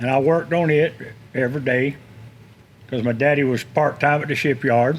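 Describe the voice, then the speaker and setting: The speaker has a Florida accent and talks at a moderate pace. Pitch varies in an ordinary way. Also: man. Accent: Southern US (Florida). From Tampa, Florida. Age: 60s. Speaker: shipyard worker. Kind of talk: casual chat.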